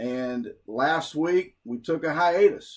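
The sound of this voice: This man's voice sits fairly high for a man, with ordinary pitch variation and an American accent.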